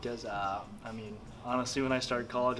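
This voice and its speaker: Noticeable background noise fills the clip. Over it, a man talks at a fairly quick pace. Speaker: interviewee. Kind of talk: interview answer. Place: meeting room.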